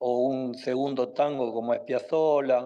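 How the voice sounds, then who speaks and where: A man with an Argentine accent and a dark, mellow tone speaks at a very slow pace. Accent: Argentine Spanish (Rioplatense). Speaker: interview guest on Argentine history. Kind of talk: interview answer. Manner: hesitant, many fillers.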